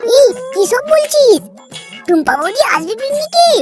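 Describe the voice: A woman does a squeaky, cartoonish character voice. Loud music plays in the background. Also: moderate pace.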